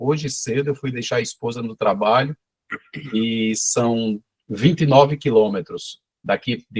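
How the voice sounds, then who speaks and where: The man's voice sits at a medium pitch and is somewhat breathy. The sound is dry and close with no echo, and his pitch varies in an ordinary way. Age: 50s. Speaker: small cheese producer. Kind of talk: casual chat. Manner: animated.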